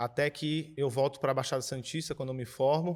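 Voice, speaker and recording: A man speaks at a moderate pace in a normal speaking voice, fairly high in pitch, with fairly even intonation. The recording is very clean, with a silent background. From Brazil, Cubatão, São Paulo coast. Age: 20s. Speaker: filmmaker and philosophy teacher. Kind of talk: panel discussion. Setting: screening venue with audience.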